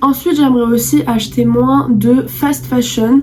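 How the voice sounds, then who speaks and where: There is noticeable background noise as a woman talks. Her pitch is high and her pace fairly slow. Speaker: youtuber. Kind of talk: vlog monologue.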